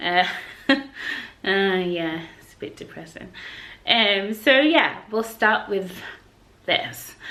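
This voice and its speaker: A woman with a Yorkshire accent and a medium pitch talks at a very slow pace, leaving long, frequent pauses. Her intonation is lively and her loudness swings widely. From Yorkshire, England. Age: young. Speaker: English teacher and vlogger. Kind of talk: casual talk to camera. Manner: outgoing, chatty.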